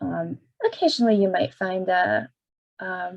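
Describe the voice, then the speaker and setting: At a moderate pace, a woman speaks at a medium pitch in a dark, mellow tone. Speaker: librarian. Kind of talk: tutorial.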